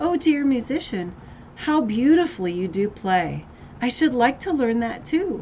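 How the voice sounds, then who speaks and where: Against clear background noise, a woman uses a put-on character voice with a high pitch. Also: moderate pace. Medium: read story.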